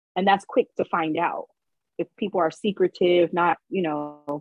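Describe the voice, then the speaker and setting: With a normal speaking voice, a woman talks slowly-ish at a fairly low pitch, her intonation fairly even. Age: 30s. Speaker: businesswoman in mechanical field, co-host guest. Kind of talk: casual chat.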